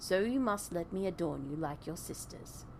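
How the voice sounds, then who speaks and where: A woman's put-on character voice at a fairly low pitch, over clear background noise. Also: moderate pace. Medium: game stream.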